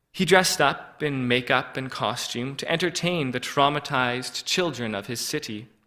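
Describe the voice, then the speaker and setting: Using a plain, everyday voice, a man talks at a moderate pace in a medium pitch with ordinary pitch variation. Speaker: preacher. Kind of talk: sermon delivered to a congregation.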